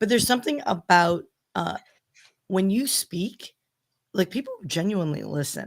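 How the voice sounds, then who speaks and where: A woman puts on a raspy, gravelly character voice at medium pitch. She keeps a moderate pace with long, frequent pauses. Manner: conversational, appreciative.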